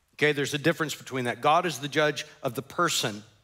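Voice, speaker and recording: Against a quiet background, a man talks at a fairly quick pace in a bright, sharp tone. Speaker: pastor. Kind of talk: sermon. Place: church.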